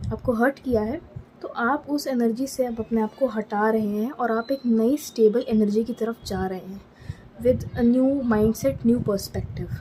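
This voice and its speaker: A woman's fairly high voice at a moderate pace, with ordinary pitch variation and noticeable background noise. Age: 20s. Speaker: tarot reader. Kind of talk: tarot reading. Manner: casual Hindi-English code-switching.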